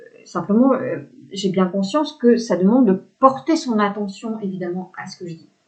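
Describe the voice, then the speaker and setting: Lively intonation and big swings in loudness mark a woman's somewhat breathy, medium-pitched voice at a moderate pace. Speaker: spiritual coach. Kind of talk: spiritual talk to camera. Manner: hesitant fillers, repetitions.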